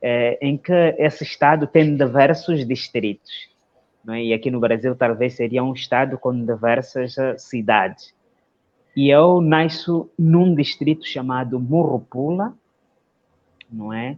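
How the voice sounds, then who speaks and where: With a Mozambican accent, a man talks fairly slowly at medium pitch, with ordinary pitch variation. Long pauses come often. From Mozambique, Nampula province (north). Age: 30s. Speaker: lawyer and social entrepreneur. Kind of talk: interview, life story. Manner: halting, many fillers.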